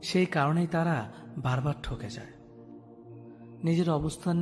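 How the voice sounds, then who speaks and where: A man speaks with ordinary pitch variation over music in the background. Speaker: radio presenter. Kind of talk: motivational speech narration. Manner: emotional, heartfelt.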